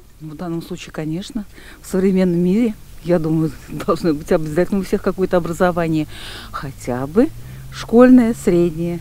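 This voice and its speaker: Amid noticeable background noise, a woman with a fairly low pitch speaks at a moderate pace with ordinary pitch variation and long, frequent pauses. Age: old. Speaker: street interview respondent, retiree. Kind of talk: street vox pop interview.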